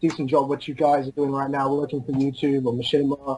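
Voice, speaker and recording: With an Australian accent, the speaker moves at a fairly quick pace. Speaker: caller. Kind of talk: casual chat. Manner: hesitant, halting.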